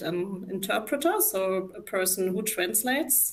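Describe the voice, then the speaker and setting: Against noticeable background noise, a woman with a German accent talks at a medium pitch and a fairly slow pace. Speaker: psychologist. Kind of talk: live talk interview. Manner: hesitant, many fillers.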